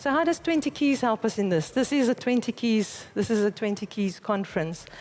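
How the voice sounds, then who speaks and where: In a South African accent, a woman talks at a fairly quick pace in a fairly high pitch, her intonation lively and her loudness very even. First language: Afrikaans. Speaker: conference speaker, company managing director. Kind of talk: conference talk.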